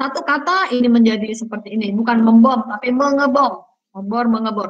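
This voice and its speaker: The speech runs at a fairly quick pace. Its pitch varies in an ordinary way, in an ordinary speaking voice. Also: woman, fairly high pitch for a woman. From Central Java (Purworejo), Indonesia. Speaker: university lecturer. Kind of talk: online lecture.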